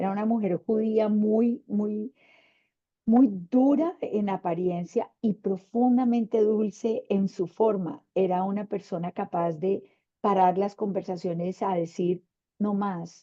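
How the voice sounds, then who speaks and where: Here a woman talks at a very slow pace. Her voice sits at a medium pitch. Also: ordinary pitch variation. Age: 60s. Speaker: panelist, women's leadership mentor. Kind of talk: panel discussion.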